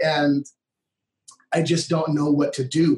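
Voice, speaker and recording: His voice sits at a fairly high pitch. The man sounds somewhat breathy. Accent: American. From US Midwest, Minnesota. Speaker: worship leader. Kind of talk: casual interview conversation.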